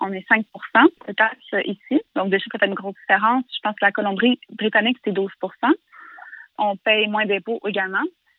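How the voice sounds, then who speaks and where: Speaking at a moderate pace with long, frequent pauses, a woman uses a fairly high pitch and fairly even intonation. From Quebec, Canada. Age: 20s. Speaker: interviewee living abroad. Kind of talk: casual conversation. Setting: phone call.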